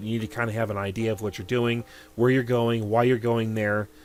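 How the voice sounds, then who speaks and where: Over music in the background, a man talks at medium pitch. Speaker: gaming youtuber. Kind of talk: let's play commentary. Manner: halting.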